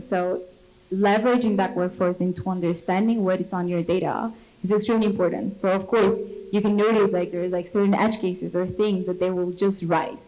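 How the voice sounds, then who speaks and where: Over noticeable background noise, a woman with a Latin American accent speaks at medium pitch and a fairly quick pace, her intonation fairly even. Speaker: product manager on industry panel. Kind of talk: panel discussion.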